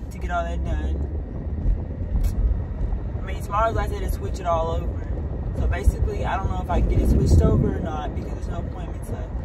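Amid loud background noise, a woman talks very fast with ordinary pitch variation, the sound dry with no echo. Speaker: vlogger. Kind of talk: casual vlog chat. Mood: unsure, mildly worried. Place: car.

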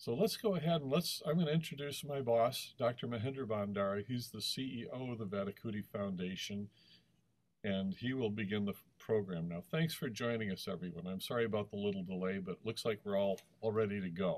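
A man with an American accent and a plain, everyday voice, medium pitch, lively intonation and a fairly quick pace. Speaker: webinar host. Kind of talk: webinar introduction and closing. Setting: video call.

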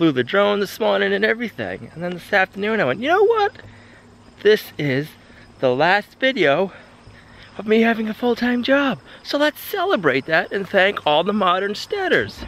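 At a moderate pace, a man with a high pitch makes very wide pitch swings in a dry sound with no echo. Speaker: homesteader vlogger. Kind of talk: casual vlog chat. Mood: happy, reflective, grateful. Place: garden. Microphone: phone near.

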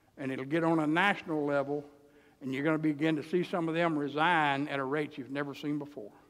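A man with an American accent at a very fast pace, with fairly even intonation. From US South, Texarkana area; US South. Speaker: pastor. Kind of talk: sermon. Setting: church. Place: church.

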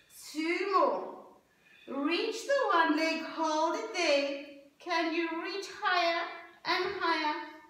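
Extremely high and bright with a sharp edge, a woman's voice moves at a very slow pace with a calm tone and ordinary pitch variation, with audible room echo. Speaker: Pilates instructor. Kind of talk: guided exercise class, spoken cues. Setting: home video workout. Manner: calm, encouraging, rhythmic; warm, upbeat, laughs at own slip. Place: home room. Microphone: camera far.

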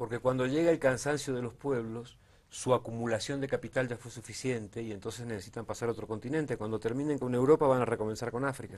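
A man talks at a very fast pace. His intonation stays fairly even, with hardly any pauses. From Argentina. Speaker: documentary filmmaker and political analyst; political analyst. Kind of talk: political discussion. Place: studio. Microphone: lapel.

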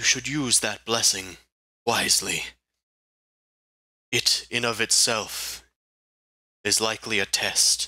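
The speaker uses a put-on character voice at a fairly slow pace. Intonation stays fairly even, broken by long, frequent pauses. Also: man, medium pitch for a man. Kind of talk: solemn fantasy roleplay. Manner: grave, formal, proud.

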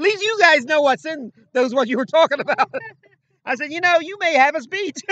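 A man speaks in an extremely high, raised and projected voice with a bright, sharp tone. His intonation is lively, his loudness swings widely, and the sound is dry with no echo against a quiet background. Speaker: former radio and sports announcer, show co-host; talk show guest. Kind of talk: casual chat. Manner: halting, repeats words often. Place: open country. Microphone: phone near.

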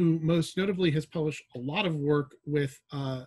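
A man speaks at a moderate pace, his pitch varying in an ordinary way, with a quiet background behind him. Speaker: panel moderator. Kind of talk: panel introduction. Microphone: video call.

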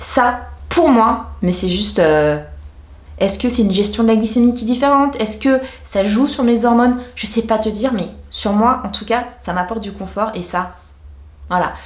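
A woman speaks in an animated tone at a fairly high pitch, somewhat breathy, with ordinary pitch variation and a moderate pace. Audible room echo surrounds her voice. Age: 40s. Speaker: beauty and lifestyle YouTuber; lifestyle YouTuber. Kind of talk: casual vlog talking to camera. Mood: cheerful, enthusiastic. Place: home room.

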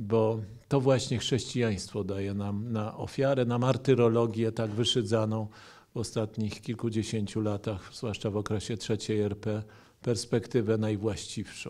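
Fairly slow speech comes from a man. The intonation is flat and monotone. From Poland. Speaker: historian and author; historian lecturer. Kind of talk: lecture. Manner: formal. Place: hall. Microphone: podium.

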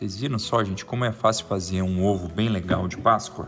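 Faint music plays in the background as a man speaks at a moderate pace. His pitch is very deep and low, with ordinary pitch variation. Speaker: family channel host. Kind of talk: casual tutorial vlog chat. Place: kitchen. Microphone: phone near.

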